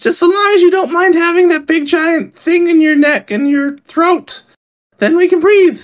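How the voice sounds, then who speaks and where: Squeaky, extremely high put-on character voice at a moderate pace. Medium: actual play. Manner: excitable, loud.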